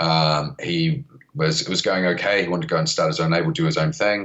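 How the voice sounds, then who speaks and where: A man with a New Zealand accent talks at a moderate pace. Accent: Kiwi. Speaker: record label founder. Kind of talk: podcast interview. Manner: hesitant, many fillers.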